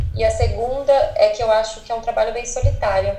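Speaking at a fairly quick pace, a woman is heard with audible room echo and noticeable background noise. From Brazil, São Paulo ABC region. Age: 20s. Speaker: travel influencer. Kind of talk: interview.

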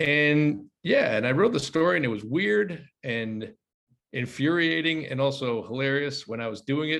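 A man with an American accent speaks at a moderate pace in a fairly high pitch. It is an unremarkable speaking voice with lively intonation. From United States. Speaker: journalist and screenwriter. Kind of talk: casual chat. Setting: video call.

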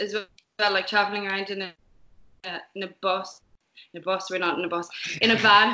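With an Irish accent, a woman speaks at a medium pitch and a fairly quick pace. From Ireland, Limerick. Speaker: musician in a band. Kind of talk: interview.

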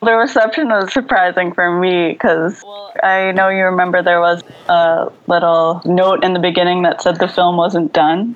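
A woman's medium-pitched voice with an American accent, an ordinary speaking voice, with hardly any pauses. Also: ordinary pitch variation, moderate pace. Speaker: animation filmmaker. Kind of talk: interview. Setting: video call.

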